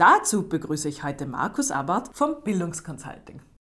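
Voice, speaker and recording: Her pitch fairly low, a woman speaks at a moderate pace with very wide pitch swings. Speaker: podcast host. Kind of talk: interview.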